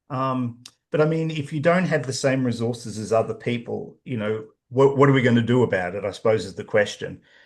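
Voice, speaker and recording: The speaker talks at a fairly quick pace with an Australian accent and ordinary pitch variation. The background is quiet. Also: man, medium pitch for a man. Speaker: professor and author. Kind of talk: interview.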